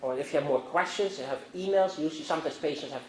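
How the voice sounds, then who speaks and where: A man with a Dutch accent is heard with audible room echo and noticeable background noise. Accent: Dutch, Northern European. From Netherlands, Amsterdam. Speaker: physician and guest lecturer. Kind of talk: lecture. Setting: university classroom. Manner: halting, many fillers and restarts.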